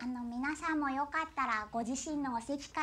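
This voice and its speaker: A woman talks at a moderate pace in a high-pitched voice. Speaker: silent film narrator (benshi) and voice actor. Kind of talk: stage talk to audience at a film festival. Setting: live on stage, self-accompanying.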